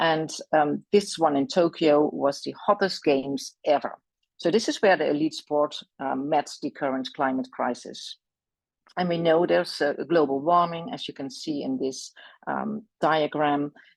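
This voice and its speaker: A woman with a Dutch accent speaks at a moderate pace in a very deep, low voice with ordinary pitch variation. The sound is dry and close, with no echo. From Netherlands. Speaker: equine veterinary specialist and lecturer. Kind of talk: presentation. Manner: halting, many fillers.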